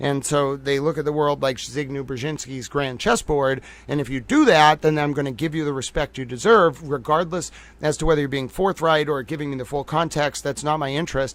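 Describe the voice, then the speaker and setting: With a Boston accent, a man talks fairly quickly at a fairly high pitch, keeping his intonation fairly even. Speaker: livestream commentator. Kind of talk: live stream analysis. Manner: casual, filler-heavy.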